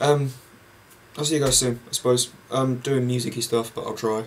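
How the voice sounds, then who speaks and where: A man with an English accent talks at a very fast pace. His intonation stays fairly even over light background noise. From England. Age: young. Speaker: vlogger. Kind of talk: casual monologue; casual vlog chat. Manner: rambling, halting. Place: home room. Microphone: webcam.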